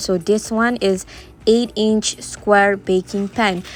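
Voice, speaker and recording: A woman with a Malaysian accent speaks at a fairly slow pace and with fairly even intonation. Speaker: home baker, cooking vlogger. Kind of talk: cooking tutorial. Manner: casual, hesitant with fillers.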